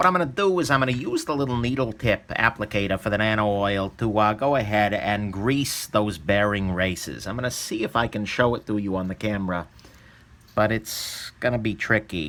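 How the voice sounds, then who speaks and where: Talking at a fairly quick pace, a man has a fairly low pitch with ordinary pitch variation. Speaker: knife reviewer. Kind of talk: tutorial. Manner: casual, with fillers; soft-spoken.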